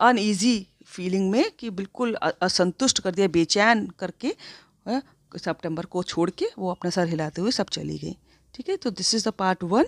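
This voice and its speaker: On a very clean recording with a silent background, a woman with an ordinary speaking voice and medium pitch speaks with ordinary pitch variation. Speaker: school English teacher. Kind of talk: lecture.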